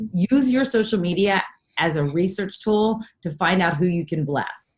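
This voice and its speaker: The voice is somewhat breathy, with an East Coast American accent. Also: woman. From US East Coast, Philadelphia. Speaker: network marketing coach. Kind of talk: casual chat. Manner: fast.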